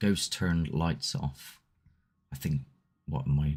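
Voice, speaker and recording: This man has a very deep, low voice with vocal fry. His intonation stays fairly even. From Southwest England. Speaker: paranormal investigator and livestream host. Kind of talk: casual live chat reading viewer comments. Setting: solo livestream. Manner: loose and conversational, with hesitations.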